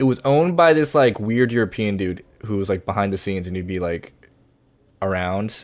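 Fairly low in pitch, a man speaks with an unremarkable speaking voice. He talks at a fairly quick pace with lively intonation. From US South, Virginia. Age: 30s. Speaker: comedian. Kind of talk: casual chat.

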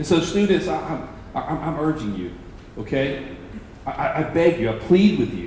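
A man with a fairly high pitch speaks at a moderate pace, his voice making very wide pitch swings. Long, frequent pauses break up his speech, with noticeable background noise and audible room echo. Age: 40s. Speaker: pastor.

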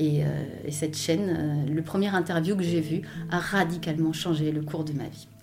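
Noticeable background noise sits under a voice with monotone, flat intonation at a moderate pace. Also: woman, very deep, low pitch for a woman. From Belgium, Hainaut countryside. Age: 40s. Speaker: personal development coach. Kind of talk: interview, life story. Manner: halting, many repetitions.

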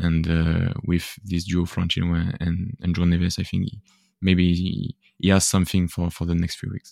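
In a French accent, a man talks at a moderate pace. His pitch is very deep and low, with monotone, flat intonation. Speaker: football podcaster. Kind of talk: casual chat. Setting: video call. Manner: halting.

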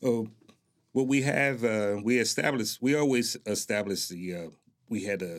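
Speaking with an American accent, a man with an unremarkable speaking voice keeps a moderate pace and ordinary pitch variation. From Newark, New Jersey. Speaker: military retiree, heritage group president. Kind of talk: interview. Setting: studio.

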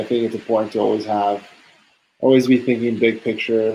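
The speech moves at a fairly quick pace in a flat monotone. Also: man. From San Diego, California. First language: Spanish. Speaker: guest, tech worker. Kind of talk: casual interview chat. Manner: casual, filler-heavy, conversational.

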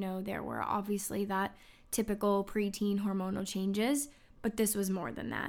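In a very clean recording with a silent background, an ordinary speaking voice carries fairly even intonation. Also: woman. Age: 30s. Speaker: podcast host sharing life story. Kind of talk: personal testimony monologue. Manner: earnest, warm.

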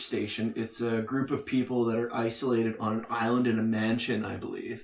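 At a moderate pace, this is an unremarkable speaking voice. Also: man. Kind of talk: casual chat. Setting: home basement.

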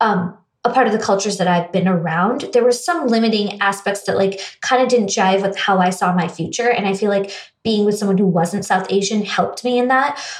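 In a plain, everyday voice, a woman with an American accent speaks at a fairly quick pace. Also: medium pitch for a woman, ordinary pitch variation, very even loudness. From US, raised in India from age eight. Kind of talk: casual interview conversation.

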